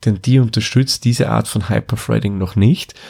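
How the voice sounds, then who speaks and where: Someone with an Austrian accent speaks in a very clean recording against a silent background. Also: man. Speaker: tech podcast host. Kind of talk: explanatory tutorial.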